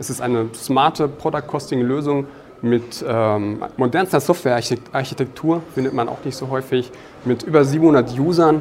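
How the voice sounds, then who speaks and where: A man speaks at a moderate pace and medium pitch with fairly even intonation over noticeable background noise. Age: 30s. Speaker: product manager. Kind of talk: interview. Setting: conference.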